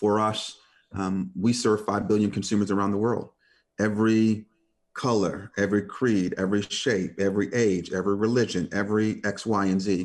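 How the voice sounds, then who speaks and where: The background is quiet as a man speaks in a fairly low voice. His loudness is very even and his intonation monotone and flat. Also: moderate pace. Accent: American. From Detroit, US Midwest. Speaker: corporate communications executive. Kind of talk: interview conversation. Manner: hesitant, many fillers.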